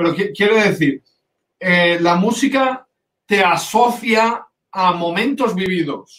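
This man has a high pitch and ordinary pitch variation, talking at a very slow pace with very even loudness. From Valencia region, Spain. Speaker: composer and conductor. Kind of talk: interview.

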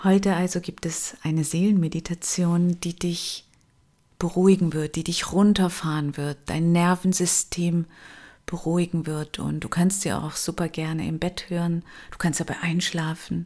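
Over a silent background in a very clean recording, a woman talks at a fairly slow pace with a dark, mellow tone and monotone, flat intonation. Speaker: meditation guide and coach. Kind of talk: guided meditation. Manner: slow, soft, calming, with long pauses; gentle, soothing, intimate.

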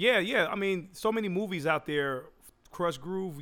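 Lively intonation and an American accent come through at a moderate pace. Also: man. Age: 40s. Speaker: podcast host and DJ. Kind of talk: casual chat. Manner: animated, laughing often.

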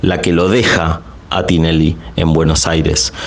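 Room echo and clearly audible background noise around a man's fairly slow delivery. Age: 40s. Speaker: journalist. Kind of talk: interview testimony. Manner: halting, repeats words.

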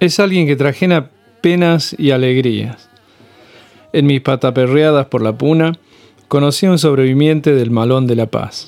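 Using a fairly high pitch with ordinary pitch variation, a man talks at a fairly slow pace with very even loudness and long, frequent pauses. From Argentina, Córdoba hills (Punilla valley). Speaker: podcast host. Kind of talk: scripted narration.

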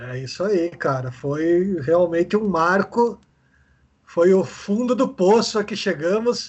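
With ordinary pitch variation, a man talks. He goes very slowly. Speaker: club historian. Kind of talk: casual chat.

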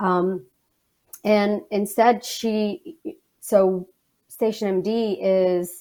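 Her tone is dark and mellow. The woman's intonation stays fairly even. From Alabama. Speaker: communications manager. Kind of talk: interview. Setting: video call.

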